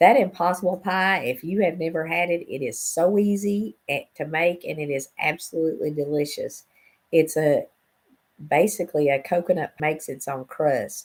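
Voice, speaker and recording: With an Appalachian accent, a woman talks at a moderate pace in a very deep, low voice. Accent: Southern US (Appalachian). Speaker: cooking channel host. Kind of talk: casual livestream talk.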